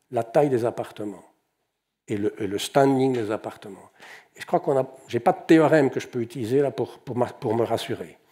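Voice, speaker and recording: Recorded very cleanly against a silent background, a man with a fairly high pitch and a dark, mellow tone speaks at a moderate pace with lively intonation. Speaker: economist and conference speaker. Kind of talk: conference talk. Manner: halting, many repetitions and fillers.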